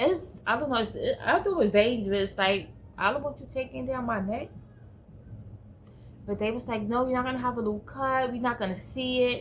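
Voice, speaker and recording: A fairly quick pace broken by long, frequent pauses, with music in the background. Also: woman, high pitch for a woman, ordinary pitch variation. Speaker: vlogger recovering from stroke. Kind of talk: personal vlog testimony. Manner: halting.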